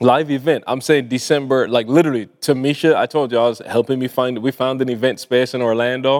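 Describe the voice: A man talks at a fairly quick pace with a Barbadian accent. His tone is slightly mellow and his intonation fairly even. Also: medium pitch for a man. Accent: Caribbean-tinged English, Barbadian.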